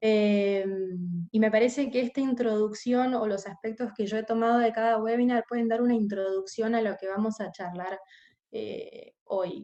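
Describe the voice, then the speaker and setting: A woman speaks in a dark, mellow tone. Her pace is moderate and her intonation fairly even. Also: fairly high pitch for a woman. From Argentina. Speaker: corporate investigations specialist, webinar panelist. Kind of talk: webinar presentation. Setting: online webinar. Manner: hesitant, many filler sounds.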